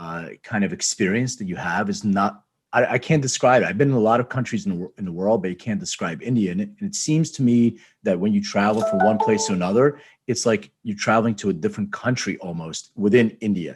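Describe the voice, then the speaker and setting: Music plays in the background as a man speaks with an American accent. His pace is very fast. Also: fairly low pitch for a man, ordinary pitch variation. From Philadelphia, US. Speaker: podcast host. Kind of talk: podcast interview.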